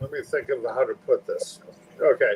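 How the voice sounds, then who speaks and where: This man speaks at a moderate pace. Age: 50s. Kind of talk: casual chat. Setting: live stream video call.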